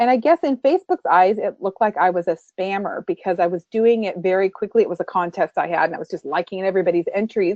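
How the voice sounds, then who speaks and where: At a very fast pace and with hardly any pauses, a woman speaks in a medium pitch with ordinary pitch variation. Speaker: social media trainer. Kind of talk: webinar presentation. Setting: webinar.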